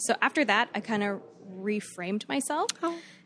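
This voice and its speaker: Speaking in a plain, everyday voice, a woman with an American accent keeps a moderate pace at a fairly high pitch. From Florida, Fort Myers. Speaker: podcast listener guest. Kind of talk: storytelling.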